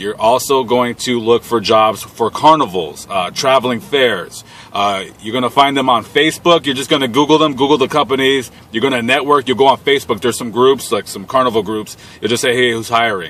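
At a fairly quick pace with hardly any pauses, a man talks with ordinary pitch variation in a dry sound with no echo. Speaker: van dweller vlogger. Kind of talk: casual vlog chat. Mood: blunt, irritated, opinionated. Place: car.

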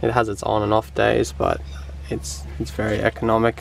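A man talks at a fairly slow pace in a fairly low pitch. The sound is dry with no echo, with light background noise. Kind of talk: casual vlog chat. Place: open country. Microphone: phone near.

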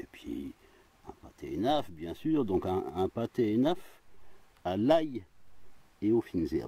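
With a relaxed tone, a man talks at a very slow pace, leaving long, frequent pauses, and the sound is dry with no echo. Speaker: outdoor vlogger. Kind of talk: casual monologue to camera while eating. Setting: outdoors in a forest. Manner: relaxed, chatty with frequent hein and voilà. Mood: jovial, relaxed. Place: forest. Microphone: phone near.

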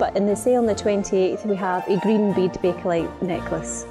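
Clear music plays in the background while a woman speaks at a fairly quick pace. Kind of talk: corporate presentation to camera about auction items. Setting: promotional video. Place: studio.

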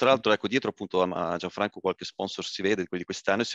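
The background is quiet and the sound dry, with no echo. A man talks at a very fast pace. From German-speaking Switzerland. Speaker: rugby club president; guest. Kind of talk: casual interview. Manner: hesitant, many fillers. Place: home room. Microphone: headset.

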